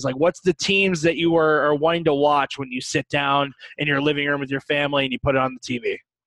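A normal speaking voice from a man with an American accent, fairly high-pitched, in a dry, close sound with no echo. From US Midwest, St. Louis. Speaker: hockey podcast host. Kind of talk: casual chat.

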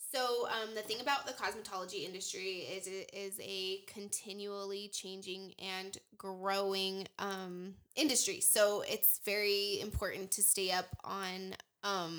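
A woman at a medium pitch, an ordinary speaking voice, fairly even intonation and a fairly slow pace. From Wyoming, US. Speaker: cosmetologist. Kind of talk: casual chat.

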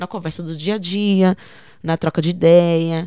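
The recording is very clean, with a silent background. A woman speaks at a fairly low pitch in a dark, mellow tone. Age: 30s. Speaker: poet and arts educator. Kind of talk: interview testimony.

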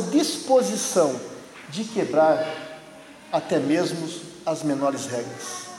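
A man at a very slow pace over noticeable background noise. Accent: Brazilian. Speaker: preacher. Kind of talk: sermon in church, with prayer and scripture reading. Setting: church service with congregation. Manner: earnest, persuasive pulpit delivery, direct appeals to the congregation.

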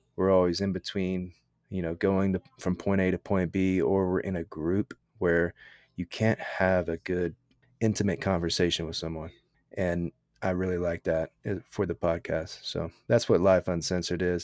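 With an American accent, a man speaks at a moderate pace in a very deep, low voice with monotone, flat intonation, in a very clean recording with a silent background. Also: dry, close sound with no echo. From Texas. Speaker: military veteran and entrepreneur. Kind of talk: casual interview.

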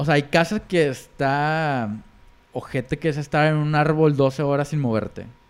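With a Mexican accent, a man talks at a fairly slow pace, his fairly high pitch carried in fairly even intonation. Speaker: podcast co-host. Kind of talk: casual chat.

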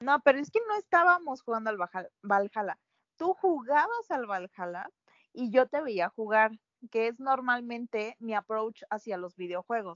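A normal speaking voice from a woman, pitched fairly high and paced fairly slowly. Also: lively intonation. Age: 20s. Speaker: podcast co-host. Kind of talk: casual chat.

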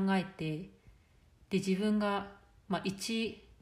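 Speaking at a very slow pace, a woman has a somewhat breathy voice and fairly even intonation, with audible room echo. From Japan. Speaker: life coach. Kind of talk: solo podcast monologue.

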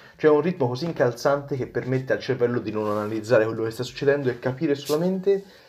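The pitch of this man's voice varies in an ordinary way. He talks at a very fast pace. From Tuscany, Prato. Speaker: magician. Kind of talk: podcast interview. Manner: halting, with repetitions.

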